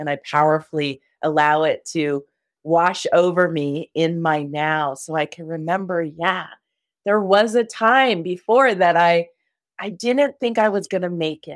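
On a very clean recording with a silent background, a woman with an unremarkable speaking voice talks fairly slowly in a fairly low pitch with lively intonation. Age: 50s. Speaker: shamanic love coach. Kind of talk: casual chat.

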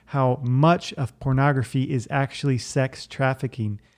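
Against a quiet background, a man with an unremarkable speaking voice talks at a moderate pace and medium pitch. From Virginia, US. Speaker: podcast host. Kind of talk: personal testimony.

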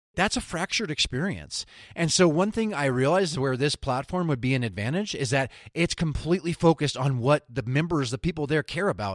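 A plain, everyday voice from a man, fairly high in pitch with lively intonation at a fairly quick pace, dry and close with no echo, in a very clean recording with a silent background. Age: 40s. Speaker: UX designer and podcaster. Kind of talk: casual interview conversation.

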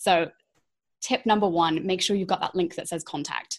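Somewhat breathy female voice, its pitch varying in an ordinary way. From England. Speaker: website designer and strategist. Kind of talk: casual interview chat.

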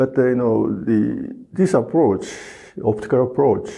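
A man talks with vocal fry. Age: 70s. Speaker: professor and scientist. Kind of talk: interview answers, explanatory.

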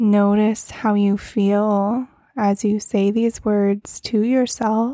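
At a very slow pace, a woman speaks in a dark, mellow, soothing and calm tone, her intonation monotone and flat and her loudness very even. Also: medium pitch for a woman. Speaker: podcast host and meditation guide. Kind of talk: guided meditation. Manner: slow, soothing, calm and gentle, with long pauses between cues.

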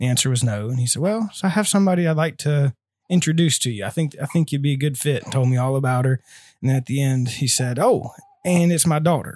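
A man with a fairly high pitch and a somewhat breathy voice talks very fast over a silent background in a very clean recording. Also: ordinary pitch variation. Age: 20s. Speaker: missionary aircraft mechanic. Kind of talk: casual interview.

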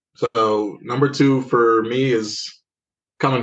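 This is a normal speaking voice. A man talks at medium pitch with fairly even intonation. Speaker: podcast co-host. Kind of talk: casual chat.

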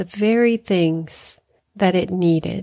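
A woman with a dark, mellow tone speaks very slowly in a calm, soothing way, her intonation fairly even, on a very clean recording with a silent background. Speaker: spiritual life coach and hypnotherapist. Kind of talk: guided meditation. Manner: slow, soothing, gentle; calm, with long pauses.

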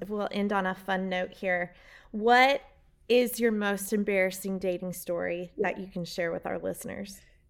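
This woman has an ordinary speaking voice at a medium pitch, delivered at a moderate pace with fairly even intonation. The recording is very clean, with a silent background. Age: 40s. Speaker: podcast host. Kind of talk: casual chat.

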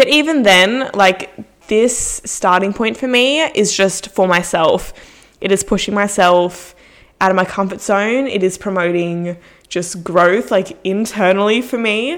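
A woman speaks at a fairly slow pace in an unremarkable speaking voice. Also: medium pitch for a woman, ordinary pitch variation. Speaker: podcaster and fitness influencer. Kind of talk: casual solo monologue. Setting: home recording with mic and headphones. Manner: chatty, self-deprecating, informal.

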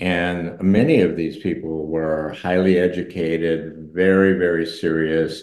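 A man's very deep, low voice at a fairly slow pace, monotone and flat. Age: 80s+. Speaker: relationship therapist and author. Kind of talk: casual interview.

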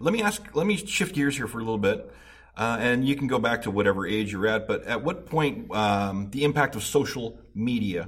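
There's vocal fry in this man's medium-pitched voice. He keeps a moderate pace. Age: 40s. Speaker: recovery podcast host. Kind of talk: interview.

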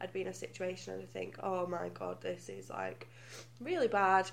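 A speaker with a British accent. The pace is moderate. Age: 20s. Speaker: guest. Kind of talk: casual chat.

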